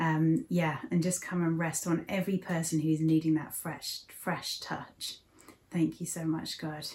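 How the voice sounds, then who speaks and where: A woman with an English accent, fairly slow and monotone, with flat intonation. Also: fairly low pitch for a woman. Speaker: church service host. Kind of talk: casual chat and prayer. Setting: living room at home.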